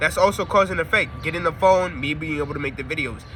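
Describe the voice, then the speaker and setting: Ordinary pitch variation and a fairly quick speed, with background noise clearly present. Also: man. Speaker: spiritual YouTuber. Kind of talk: casual monologue to camera. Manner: fast; halting, self-correcting.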